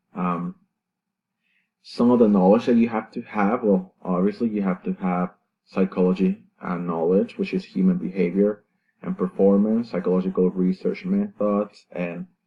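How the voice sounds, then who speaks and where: Speaking with a Salvadoran accent, a man uses a fairly low pitch, a moderate pace and fairly even intonation. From El Salvador, San Miguel. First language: Spanish. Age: 20s. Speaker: university student. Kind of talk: class presentation. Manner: halting, many fillers and self-corrections.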